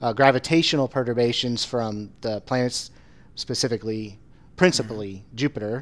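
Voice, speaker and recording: A man talks at a moderate pace in a medium pitch, varying it in an ordinary way. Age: 40s. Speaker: atmospheric sciences professor. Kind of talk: casual chat. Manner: halting.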